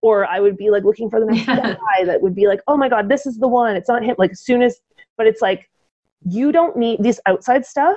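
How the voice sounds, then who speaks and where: A woman talks at a fairly quick pace in a fairly high pitch with lively intonation. She has an ordinary speaking voice. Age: 40s. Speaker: fitness podcast co-host. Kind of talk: casual chat.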